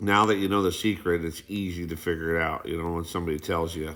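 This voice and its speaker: Mumbling, a man speaks in a very deep, low voice with a bright, sharp tone. His intonation is monotone and flat. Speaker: YouTuber explaining treasure hunt theory. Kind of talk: monologue explanation. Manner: halting, many fillers.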